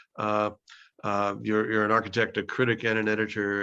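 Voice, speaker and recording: A man with a New York accent and a fairly low pitch speaks at a fairly quick pace in a bright, sharp tone. His intonation is flat and monotone, over a quiet background. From US Northeast, Brooklyn. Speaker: professor leading a virtual field study. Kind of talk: video call introduction. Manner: halting, many fillers.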